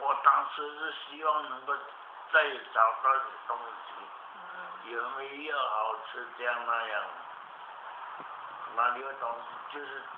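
Amid noticeable background noise, a man speaks at a very slow pace with fairly even intonation and long, frequent pauses. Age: 80s+. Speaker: qigong master, cancer survivor. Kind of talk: interview answer. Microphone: camera far.

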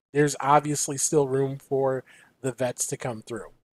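A man with an American accent is heard in a dry sound with no echo. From US Midwest. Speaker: podcast co-host. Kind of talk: casual chat. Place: home room.

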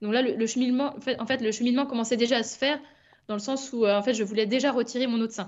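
Speaking very fast against a quiet background, a woman keeps a high pitch and fairly even intonation. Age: 30s. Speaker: nurse and cancer patient. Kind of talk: testimony. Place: home room. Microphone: webcam.

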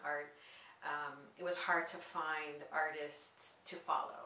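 A woman speaks with a very deep, low pitch in a flat monotone. Room echo is audible, along with light background noise. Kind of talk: interview answer. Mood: calm, reflective. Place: studio.

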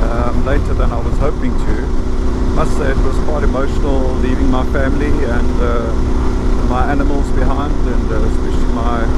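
A man speaks at a moderate pace. There is loud background noise, but the sound is dry with no echo. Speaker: motorcycle travel vlogger. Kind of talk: casual vlog chat. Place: motorbike. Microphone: helmet.

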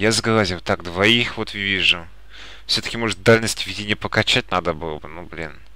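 A calm man with a bright, sharp tone speaks at a moderate pace, with ordinary pitch variation and big swings in loudness. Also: fairly low pitch for a man. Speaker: gaming YouTuber. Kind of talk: let's play commentary. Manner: calm, subdued commentary.

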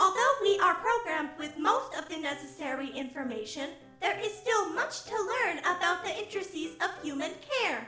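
In a cartoonish character voice pitched extremely high, a woman speaks at a moderate pace with hardly any pauses while clear music plays in the background. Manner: earnest, upbeat, precise.

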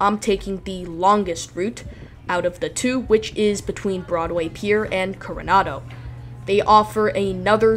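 A woman talks at a moderate pace. Music plays in the background. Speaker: travel vlogger narrator. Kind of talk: travel vlog narration.

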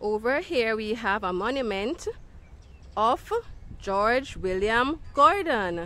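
A woman with a bright, sharp tone and a fairly high pitch talks at a very slow pace with lively intonation and long, frequent pauses, in a dry sound with no echo. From Jamaica. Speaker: children's educator. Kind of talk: educational video for children. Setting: outdoors. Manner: animated. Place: garden. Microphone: phone near.

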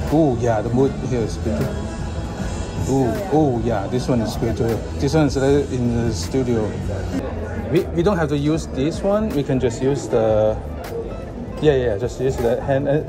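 A man talks with long, frequent pauses while clear music plays in the background. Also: moderate pace. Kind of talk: casual directions during photoshoot. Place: cafe. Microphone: phone near.

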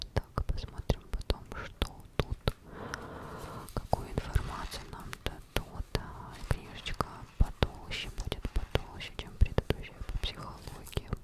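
The voice whispers, soft-spoken and very slow. Long pauses come often. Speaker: book reviewer. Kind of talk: casual vlog chat. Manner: very close soft ASMR whisper. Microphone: phone near.

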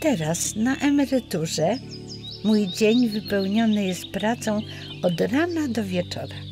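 Music plays behind a woman speaking very slowly at a fairly high pitch. Her pitch swings very widely. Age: 80s+. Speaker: poet. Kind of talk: personal life story told to camera.

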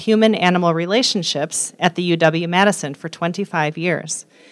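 A woman speaks over a quiet background. Her pitch varies in an ordinary way. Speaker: speaker. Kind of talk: formal introduction. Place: hall. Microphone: podium.

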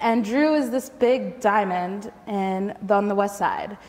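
A woman is speaking. Her pitch is medium. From Michigan suburbs, US. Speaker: school garden educator. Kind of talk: storytelling talk. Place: hall. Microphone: lapel.

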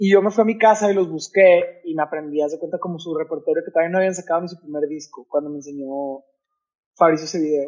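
Against a quiet background, a high-voiced man talks at a very fast pace with ordinary pitch variation and big swings in loudness. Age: young. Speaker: musician; podcast guest. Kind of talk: casual interview. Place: home room.

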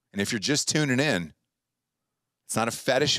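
An animated, fairly quick delivery in an American accent, with vocal fry, lively intonation, a quiet background and dry sound with no echo. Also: man. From North Carolina. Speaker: podcast host. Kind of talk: casual chat; casual podcast banter. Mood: joking, playful. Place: studio. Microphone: studio mic.

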